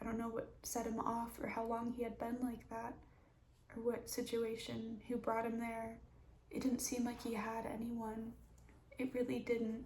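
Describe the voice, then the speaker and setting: A soft-spoken woman with a fairly high pitch talks at a moderate pace in a flat monotone, with noticeable background noise and audible room echo. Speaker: mental health vlogger. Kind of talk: personal story time. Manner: halting.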